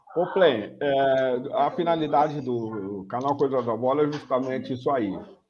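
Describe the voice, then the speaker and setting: At a fairly slow pace, a man speaks at a medium pitch with ordinary pitch variation over noticeable background noise. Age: 70s. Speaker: former footballer and channel host. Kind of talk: interview.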